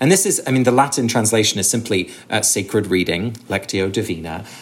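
A man talks with a southern English accent. His intonation is lively and his pace moderate. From England, Sussex. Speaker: author and ritual researcher. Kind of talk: interview conversation.

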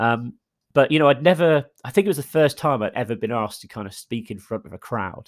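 On a very clean recording with a silent background and a dry, close sound with no echo, a man in a normal speaking voice talks at a fairly quick pace with ordinary pitch variation. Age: 30s. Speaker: entrepreneur and marketer. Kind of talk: interview.

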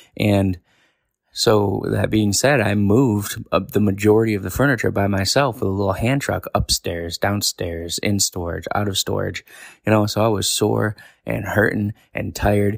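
In a very clean recording with a silent background and a dry, close sound with no echo, a man with an American accent uses a plain, everyday voice at fairly low pitch, with fairly even intonation and a moderate pace. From New York. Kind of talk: casual monologue with prophetic teaching.

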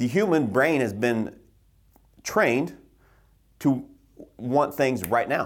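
A man's confident, medium-pitched voice with lively intonation and very even loudness, at a very slow pace with long, frequent pauses, in a very clean recording against a silent background. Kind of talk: pep talk. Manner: emphatic, fired-up, blunt; confident, motivational, driving.

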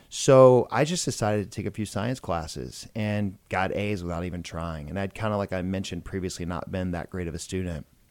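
A man with an American accent, very deep and low in pitch, with ordinary pitch variation, talking fairly quickly with hardly any pauses in a very clean recording with a silent background. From US South, Georgia (Macon). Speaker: plastic surgeon. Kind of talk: casual interview chat. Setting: studio.

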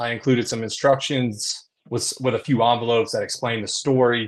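An ordinary speaking voice from a man with an American accent, at medium pitch and a moderate pace, with fairly even intonation and a quiet background. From US South. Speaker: commercial real estate leasing executive. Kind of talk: casual interview.

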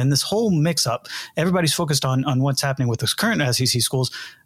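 Somewhat breathy speech races along at a very fast pace in a very clean recording with a silent background. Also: man. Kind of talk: casual chat. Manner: halting, filler-heavy.

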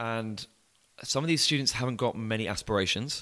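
With an English accent, a man speaks at a moderate pace in a bright, sharp tone, his medium pitch showing ordinary variation. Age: 20s. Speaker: student coach, business founder. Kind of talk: podcast interview. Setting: in person.

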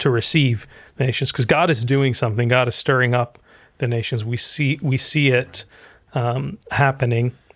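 This is a man with an ordinary speaking voice, medium in pitch, at a moderate pace. His intonation is fairly even, and the recording is very clean with a silent background. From Egypt, raised in US from childhood. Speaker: pastor and author. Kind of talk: interview conversation.

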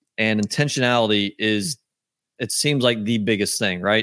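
A man with an ordinary speaking voice talks at a moderate pace in a medium pitch with ordinary pitch variation, in a dry, close sound with no echo. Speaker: podcast host. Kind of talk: casual interview chat.

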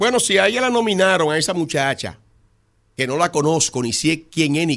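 With very wide pitch swings, a man talks at a fairly high pitch. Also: very clean recording, silent background. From Dominican Republic, La Romana. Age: 60s. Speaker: congressman. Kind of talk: radio interview.

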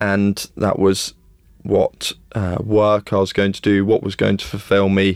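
A man speaks fairly slowly with a fairly low pitch and monotone, flat intonation, his loudness swinging widely. The recording is very clean, with a silent background. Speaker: leadership consultant and former military officer. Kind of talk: interview.

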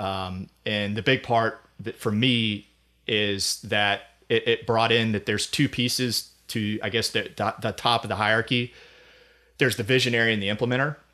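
Against a quiet background, a man speaks at a moderate pace in an ordinary speaking voice, medium in pitch with fairly even intonation. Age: 30s. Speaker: accountant and firm founder. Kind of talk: casual interview. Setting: studio.

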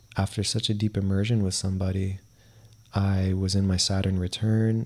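Somewhat breathy, a man with a fairly low pitch speaks in monotone, flat intonation. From US East Coast (New Jersey, Miami, Georgia). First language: Spanish. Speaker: podcast co-host. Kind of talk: casual chat.

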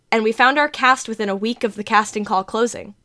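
Here a woman speaks with an ordinary speaking voice, fairly high pitch and ordinary pitch variation. The recording is very clean, with a silent background. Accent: American. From New Jersey. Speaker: podcast host and producer. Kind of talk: scripted narration.

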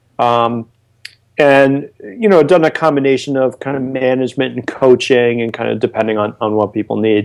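Ordinary pitch movement and a medium tempo in an unremarkable speaking voice. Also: man, medium pitch for a man. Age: 30s. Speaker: online lead generation marketer. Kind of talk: casual interview.

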